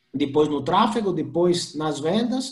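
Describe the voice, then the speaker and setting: A man with a high voice talks with a Colombian accent and lively intonation. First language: Spanish (speaking Portuguese). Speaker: e-commerce professional. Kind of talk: presentation with slides.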